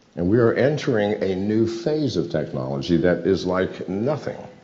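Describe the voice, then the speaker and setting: A man's very deep, low voice with very wide pitch swings at a moderate pace, amid audible room echo. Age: 70s. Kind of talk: speech on cryptocurrency. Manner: rhetorical questions, emphatic.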